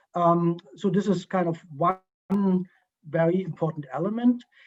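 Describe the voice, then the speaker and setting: A speaker with a German accent talks with fairly even intonation. Music plays in the background. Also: man. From East Germany. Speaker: history professor. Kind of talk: Q&A interview. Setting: video call. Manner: halting, many fillers.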